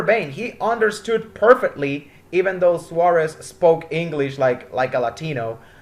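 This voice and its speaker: Lively intonation in a Spanish accent. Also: man. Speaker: motorsport commentator. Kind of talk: casual commentary.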